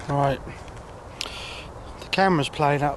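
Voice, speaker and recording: A man is shouting. His voice comes through at full force. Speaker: carp angler vlogger. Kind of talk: casual vlog. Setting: outdoors by a lake. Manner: loud, shouting over storm; excited, rapid.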